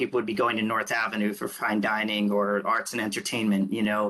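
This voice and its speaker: A man in a Baltimore accent talks at a fairly quick pace with a bright, sharp tone and medium pitch. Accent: Baltimore-area American. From Pikesville, Maryland. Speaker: resident. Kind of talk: public meeting comment.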